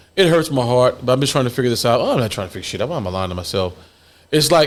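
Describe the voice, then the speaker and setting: A man with a medium-pitched voice speaks in an animated tone at a very fast pace, his intonation lively, on a very clean recording with a silent background. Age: 50s. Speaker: podcast host. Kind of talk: casual chat.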